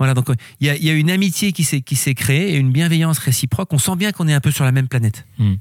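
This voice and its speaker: In a very clean recording with a silent background, a man speaks at a very fast pace with a fairly high pitch, ordinary pitch variation, and a somewhat breathy sound. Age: 50s. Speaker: company director. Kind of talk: interview. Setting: company workshop.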